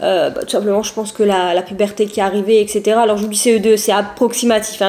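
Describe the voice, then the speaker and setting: Noticeable background noise sits behind the voice. A woman talks very fast at a fairly high pitch. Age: 20s. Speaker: YouTuber. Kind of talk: personal vlog testimony. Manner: casual, hesitant with many fillers.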